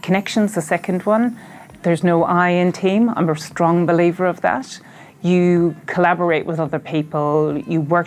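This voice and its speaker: Against noticeable background noise, a woman with an Irish accent and fairly low pitch talks at a moderate pace. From Ireland. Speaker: health organization chief executive. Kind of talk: interview.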